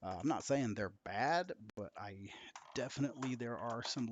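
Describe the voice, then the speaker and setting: The speaker talks quietly at a moderate pace, with ordinary pitch variation. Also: man. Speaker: VR game streamer. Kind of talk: live game stream chat. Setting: home live stream late at night. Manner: quiet, subdued. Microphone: quiet, mic far away; poor audio quality.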